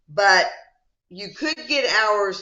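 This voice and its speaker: With an American accent, a woman speaks at a medium pitch with lively intonation. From USA. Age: 70s. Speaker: psychodrama trainer. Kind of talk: supervision session. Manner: casual, conversational.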